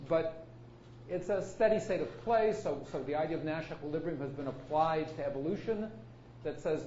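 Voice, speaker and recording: A man talks at a fairly quick pace in a fairly high pitch with lively intonation. Audible room echo surrounds his voice. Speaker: computer science professor. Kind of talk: lecture. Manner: fast.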